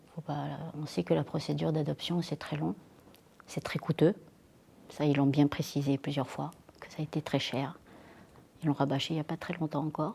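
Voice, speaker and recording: A woman's very deep, low pitch and dark, mellow tone at a moderate pace, with long, frequent pauses and big swings in loudness. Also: ordinary pitch variation. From France, rural Dordogne. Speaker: interviewee. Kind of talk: testimony. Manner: halting, many hesitations.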